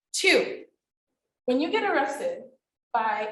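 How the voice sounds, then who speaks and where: A woman is speaking. Room echo is audible. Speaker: attorney and panelist. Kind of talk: panel discussion.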